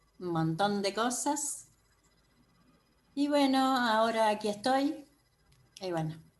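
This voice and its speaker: A woman's fairly high voice at a very slow pace, with lively intonation and long, frequent pauses, on a very clean recording with a silent background. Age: 70s. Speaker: course participant. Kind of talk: testimony. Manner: halting.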